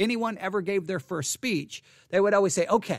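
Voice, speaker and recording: A man with an American accent at a fairly quick pace on a very clean recording with a silent background. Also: dry, close sound with no echo. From Texas. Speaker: pastor and online commentator. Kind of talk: casual live-stream commentary. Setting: church sanctuary.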